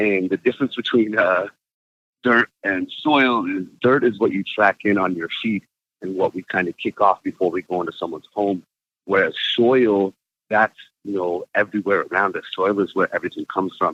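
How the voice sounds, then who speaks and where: This is a man with an ordinary speaking voice and an American accent. His pitch is fairly low, his intonation fairly even and his pace moderate. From Arizona. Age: 20s. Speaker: cannabis grower and plant educator. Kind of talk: interview. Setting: remote interview from roadside.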